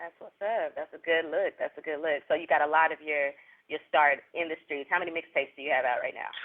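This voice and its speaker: Very fast and with big swings in loudness, a man speaks in a Southern US accent. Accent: Southern US country. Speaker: interviewer. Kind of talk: interview.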